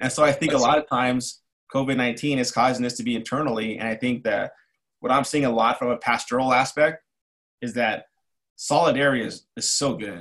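A man with an American accent speaks at a fairly quick pace in a normal speaking voice, medium in pitch with fairly even intonation, against a quiet background. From East Los Angeles, California. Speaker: army veteran. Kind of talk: casual interview.

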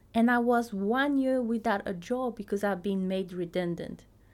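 A woman speaks with a French accent at a fairly high pitch. Her intonation is lively. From Tahiti. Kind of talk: podcast monologue, personal story and teaching.

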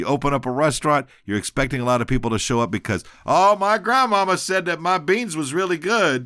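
Loud and bright with a sharp tone, a man with an American accent talks at a fairly quick pace with very wide pitch swings and hardly any pauses, in a very clean recording with a silent background. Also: fairly high pitch for a man. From Texas. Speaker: podcast host. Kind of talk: casual monologue. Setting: home office. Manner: halting, many fillers.

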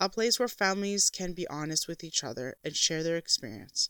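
In a plain, everyday voice, a woman talks fairly quickly with lively intonation, the sound dry and close with no echo. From Canada. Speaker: podcast host, homeschooling mother. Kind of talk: scripted monologue.

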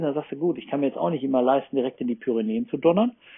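A man is speaking. His pace is very fast. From Ruhr area, Germany. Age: 40s. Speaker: surf camp manager. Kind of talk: casual chat. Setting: remote call.

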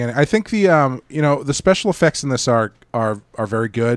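The recording is very clean, with a silent background. A man with a plain, everyday voice speaks at a medium pitch and a moderate pace. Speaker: podcast host. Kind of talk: casual chat. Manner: casual, rambling.

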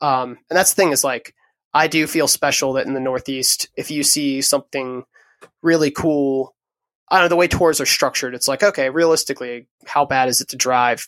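This man has an American accent and an unremarkable speaking voice, fairly high in pitch, with fairly even intonation at a fairly quick pace. The recording is very clean with a silent background and a dry, close sound with no echo. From southern Maryland, US. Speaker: musician. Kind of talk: casual interview chat. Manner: relaxed, laughs often.

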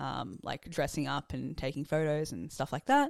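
In an Australian accent, a woman speaks at a moderate pace with a dry, close sound and no echo. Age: 20s. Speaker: student. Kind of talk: interview answers.

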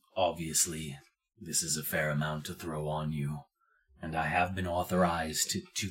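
A put-on character voice with monotone, flat intonation. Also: man. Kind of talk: fantasy tabletop character voice. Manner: formal, measured, coolly courteous, quietly threatening.

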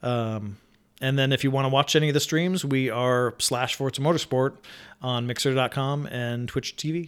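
Here a man has an unremarkable speaking voice at a medium pitch, with fairly even intonation. His pace is moderate, and the recording is very clean with a silent background. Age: 40s. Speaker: game studio streamer and video game employee. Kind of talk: casual chat.

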